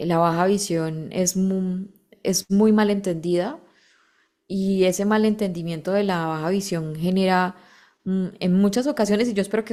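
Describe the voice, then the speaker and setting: In a very clean recording with a silent background, a woman with a Colombian accent speaks at a fairly slow pace, her medium-pitched voice dark and mellow in tone with ordinary pitch variation. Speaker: model, activist and voice-over narrator. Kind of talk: interview answer.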